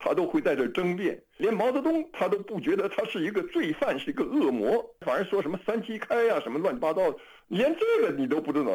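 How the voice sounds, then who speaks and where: Moving at a fairly quick pace, a man speaks with hardly any pauses. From China. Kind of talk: radio interview.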